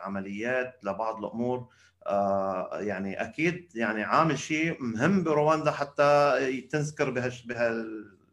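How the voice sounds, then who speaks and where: This man has an unremarkable speaking voice at a medium pitch. He uses lively intonation. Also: fairly slow pace. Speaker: podcast host. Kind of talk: interview. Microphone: weak internet connection.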